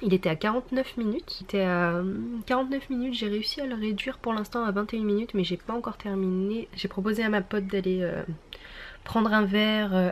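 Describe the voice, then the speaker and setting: The speaker is a woman with a moderate pace. Her intonation is fairly even throughout. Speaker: beauty and lifestyle vlogger. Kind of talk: casual vlog talk to camera. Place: home room. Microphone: phone near.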